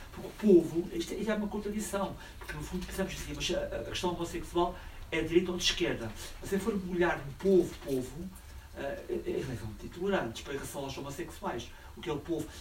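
Very fast speech with big swings in loudness and noticeable background noise. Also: man. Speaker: audience member asking questions. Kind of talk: audience question.

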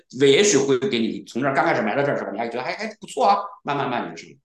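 A man talks at a very fast pace with lively intonation. The room echo is audible. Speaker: serial entrepreneur, programmer. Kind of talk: casual interview.

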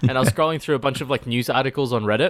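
A man's medium-pitched voice with an Australian accent. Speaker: podcast co-host. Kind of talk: casual chat. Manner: loud. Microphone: too faint, quiet audio.

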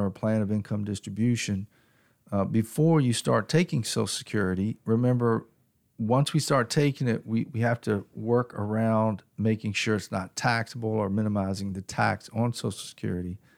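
A man talks in a normal speaking voice at a medium pitch, with ordinary pitch variation. His pace is moderate, and the recording is very clean with a silent background. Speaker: financial advisor. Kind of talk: podcast interview about taxes.

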